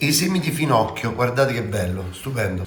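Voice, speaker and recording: In a Roman accent with an animated tone and very wide pitch swings, the speaker talks at a moderate pace amid audible room echo and noticeable background noise. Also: man. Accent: Roman Italian. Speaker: TV chef. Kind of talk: cooking tutorial.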